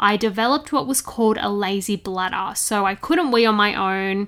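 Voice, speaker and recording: A woman speaks at a moderate pace with an Australian accent, her pitch fairly high and its variation ordinary. Her tone is bright and sharp. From Australia, Sydney. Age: 20s. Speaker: podcast host. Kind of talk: casual monologue.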